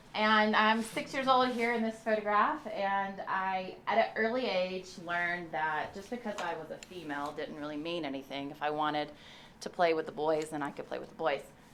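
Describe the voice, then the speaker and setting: Speaking at a fairly quick pace, a woman with a Southern US accent has a fairly low pitch and lively intonation. Noticeable background noise sits behind her. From US South, Memphis, Tennessee. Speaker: construction executive. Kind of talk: guest lecture.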